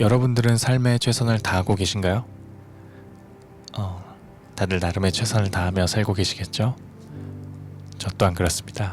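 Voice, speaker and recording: Music plays behind a man with a fairly low pitch who speaks at a moderate pace with fairly even intonation. He leaves long, frequent pauses. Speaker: audiobook narrator and musician. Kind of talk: audiobook reading, sleep-aid narration.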